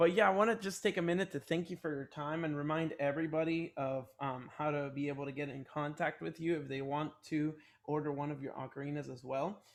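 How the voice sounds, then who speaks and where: In a quiet background, a man talks at a fairly quick pace with hardly any pauses, his fairly high voice held to a fairly even intonation. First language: not English. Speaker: ocarina teacher and interviewer. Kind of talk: interview. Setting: video call.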